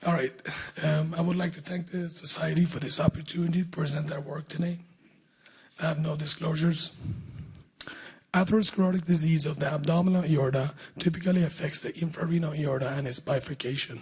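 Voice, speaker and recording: With long, frequent pauses and fairly even intonation, a man talks at a fairly high pitch over noticeable background noise. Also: fairly quick pace. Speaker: vascular surgeon presenting research. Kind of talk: conference presentation. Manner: formal.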